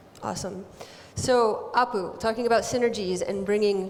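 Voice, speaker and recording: The speaker has an American accent and fairly even intonation. Room echo is audible. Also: woman. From United States. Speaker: panel moderator. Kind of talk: panel discussion. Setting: stage with audience.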